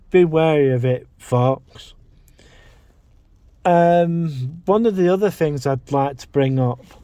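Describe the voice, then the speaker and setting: With an English accent, a man talks at a very slow pace, leaving long, frequent pauses. His voice is fairly high in pitch with ordinary pitch variation and a dark, mellow tone. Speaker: vlogger. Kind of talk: casual vlog monologue. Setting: in a parked car. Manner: halting, self-repeating.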